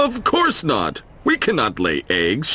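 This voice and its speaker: Against clear background noise, a man uses a put-on character voice with a high pitch and a fairly slow pace. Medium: read story.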